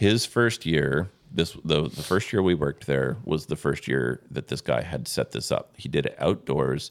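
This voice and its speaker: A man's very deep, low voice with vocal fry, lively intonation, a fairly slow pace and hardly any pauses. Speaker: pastor. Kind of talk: casual chat. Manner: animated.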